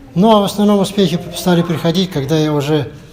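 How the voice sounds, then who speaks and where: Noticeable background noise fills the recording. A man talks over it at a moderate pace. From Russia, Yakutia (Yakutsk). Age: 70s. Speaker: table tennis veteran, teacher. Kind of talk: interview.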